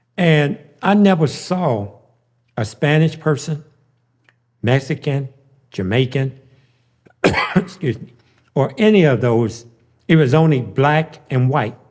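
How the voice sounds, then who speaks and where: A somewhat breathy man at a fairly high pitch, with lively intonation, a fairly slow pace and long, frequent pauses. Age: 60s. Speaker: former street figure telling life story. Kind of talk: interview testimony.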